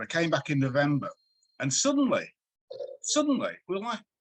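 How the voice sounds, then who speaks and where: With a Manchester accent, a man talks at a fairly quick pace in a somewhat breathy voice, his pitch swinging very widely, the sound dry and close with no echo. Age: 60s. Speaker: music writer and journalist. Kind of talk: interview.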